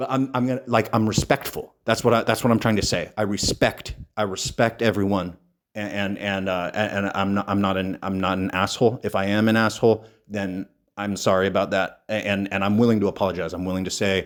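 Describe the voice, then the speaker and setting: A man's fairly low-pitched voice at a fairly quick pace, with fairly even intonation, on a very clean recording against a silent background. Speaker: bodybuilding podcast host. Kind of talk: solo podcast monologue. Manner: halting, many repetitions and fillers; harsh, blunt delivery.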